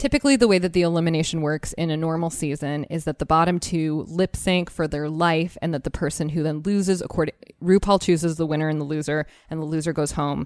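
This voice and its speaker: On a very clean recording with a silent background, a woman with an American accent talks at a fairly quick pace and a fairly low pitch. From Arizona. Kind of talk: casual chat. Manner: animated.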